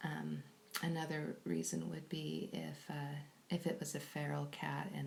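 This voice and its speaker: Soft-spoken, a woman talks with an American accent. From California. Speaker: kitten foster carer. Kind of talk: live stream chat.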